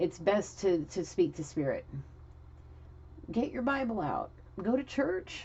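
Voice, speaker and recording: A woman is speaking. Her pitch swings very widely. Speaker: tarot reader. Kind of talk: tarot reading. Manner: fast.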